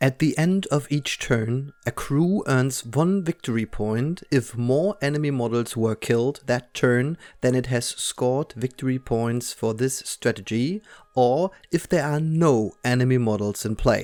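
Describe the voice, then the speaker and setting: A man with a German accent at a medium pitch, fairly slow pace and ordinary pitch variation, hardly any pauses, dry, close sound with no echo, very clean recording, silent background. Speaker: tabletop game battle report narrator. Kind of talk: scripted narration.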